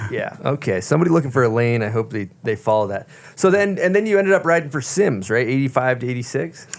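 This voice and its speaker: With very wide pitch swings, a man talks at a very fast pace over noticeable background noise. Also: medium pitch for a man. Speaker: podcast host. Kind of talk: casual podcast talk.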